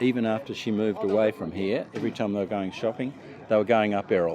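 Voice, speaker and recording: A man talks at a very fast pace with fairly even intonation and a fairly low pitch. Noticeable background noise sits behind him. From Australia, Melbourne. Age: 70s. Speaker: retired clothing retailer, billy cart racer. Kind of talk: casual interview. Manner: halting.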